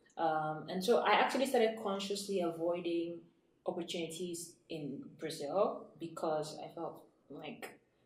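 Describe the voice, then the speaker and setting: A woman talks at a fairly low pitch with ordinary pitch variation. Her loudness swings widely, and the room echo is audible. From Nigeria. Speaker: author and entrepreneur. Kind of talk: interview. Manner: fast.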